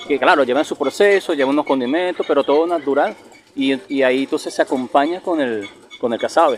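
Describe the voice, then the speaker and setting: Noticeable noise sits in the background. A man talks fairly quickly in a fairly high pitch. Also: ordinary pitch variation. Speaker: travel video host. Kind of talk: casual interview.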